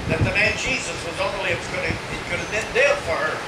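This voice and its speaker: Loud background noise beneath a man talking at a moderate speed. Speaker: evangelist preacher. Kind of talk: sermon. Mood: earnest, emotional. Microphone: camera far.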